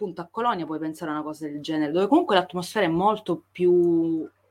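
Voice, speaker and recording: A woman with an Italian accent at medium pitch and a very fast pace. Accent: strongly Italian when speaking English. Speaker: podcast co-host. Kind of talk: casual chat.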